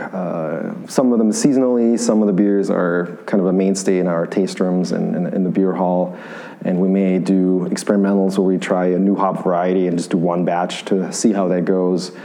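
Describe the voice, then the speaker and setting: Over noticeable background noise, a man with a very deep, low pitch speaks at a moderate pace with fairly even intonation and hardly any pauses. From Bavaria, Germany. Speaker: brewery co-founder and brewer. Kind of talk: casual interview.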